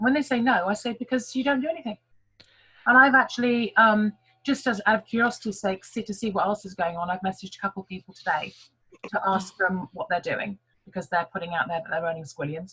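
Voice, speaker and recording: Very fast and lively in intonation, a woman speaks in a medium-pitched, bright, sharp voice. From England. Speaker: network marketing team leader. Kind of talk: online team meeting talk.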